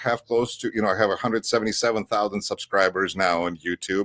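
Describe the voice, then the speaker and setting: In a Russian accent, a man talks with ordinary pitch variation on a very clean recording with a silent background. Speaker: political commentator and interpreter. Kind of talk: radio interview. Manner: hesitant, many fillers.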